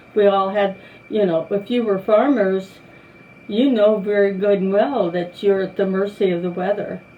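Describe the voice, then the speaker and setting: Over noticeable background noise, a woman talks at medium pitch and a moderate pace. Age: 80s+. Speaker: longtime church member. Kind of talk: oral history interview. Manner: halting.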